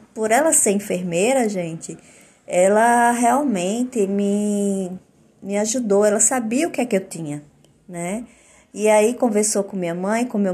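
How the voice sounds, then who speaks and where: At a moderate pace, a somewhat breathy voice with a dark, mellow tone and ordinary pitch variation comes through a very clean recording with a silent background. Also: woman. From Olinda, Pernambuco, northeastern Brazil. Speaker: integrative therapist and podcaster. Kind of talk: personal testimony monologue. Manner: halting, with frequent fillers and repetitions.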